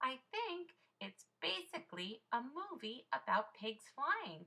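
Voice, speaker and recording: A woman puts on a character voice, speaking high and at a fairly slow pace. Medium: read story. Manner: warm, enthusiastic.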